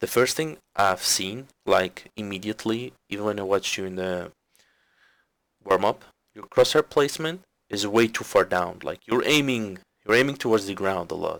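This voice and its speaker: A man's fairly low voice with a non-native accent, ordinary pitch variation, big swings in loudness and a moderate pace, on a very clean recording with a silent background. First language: not English. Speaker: game coach reviewing gameplay. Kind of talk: gameplay commentary review. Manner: halting.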